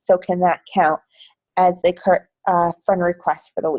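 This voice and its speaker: A woman with a New Jersey accent has a dark, mellow tone, heard in a dry, close sound with no echo. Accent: New Jersey American. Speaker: fitness business team coach. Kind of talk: team training call. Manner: casual, chatty.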